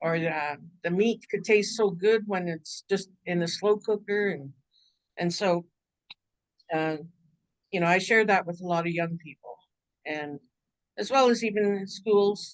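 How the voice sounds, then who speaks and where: A woman with a Canadian accent speaks at a fairly slow pace, with long, frequent pauses. Her pitch is medium, with ordinary pitch variation. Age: 60s. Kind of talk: workshop talk. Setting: video call. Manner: halting, many fillers.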